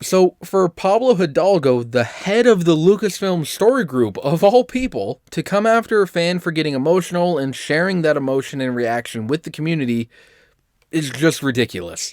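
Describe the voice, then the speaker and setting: A man's high-pitched voice with very wide pitch swings, moderate pace, and a dry, close sound with no echo. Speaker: fan commentary youtuber. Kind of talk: commentary vlog.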